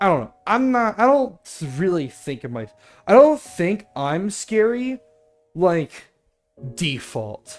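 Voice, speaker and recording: Music plays behind a man speaking at a fairly slow pace. His pitch swings very widely. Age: 20s. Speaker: video game streamer. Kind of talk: casual chat. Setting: livestream. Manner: loud.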